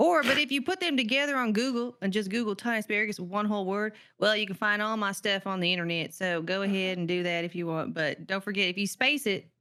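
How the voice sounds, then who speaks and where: A woman with an American accent speaks at a medium pitch, her tone bright and sharp, with ordinary pitch variation. The recording is very clean with a silent background. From Texas, big city. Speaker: streamer and content creator. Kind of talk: casual podcast chat. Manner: fast; animated.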